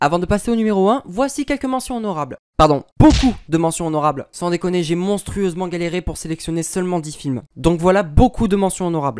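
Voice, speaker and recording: The talking moves at a fairly quick pace with hardly any pauses. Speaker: film review youtuber. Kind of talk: scripted narration.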